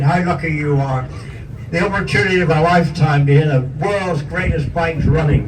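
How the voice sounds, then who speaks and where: Over noticeable background noise and audible room echo, a man with a Northern Irish accent talks at a fairly high pitch with fairly even intonation. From Northern Ireland. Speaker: motorcycle museum host. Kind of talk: casual chat.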